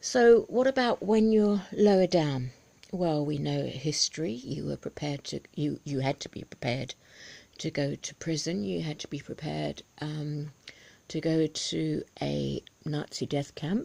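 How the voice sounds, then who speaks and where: A soft-spoken woman with a British accent and a very deep, low pitch talks at a fairly slow pace in a dark, mellow tone with lively intonation, on a very clean recording with a silent background. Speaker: video blogger, ex-religious commentator. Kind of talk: casual vlog commentary. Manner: halting, many ums.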